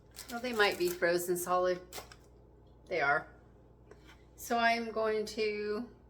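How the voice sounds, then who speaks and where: A woman with a fairly high voice talks at a fairly slow pace, her intonation lively and her speech broken by long, frequent pauses. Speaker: home cooking and gardening vlogger. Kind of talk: casual vlog talk. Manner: halting, pausing to find words.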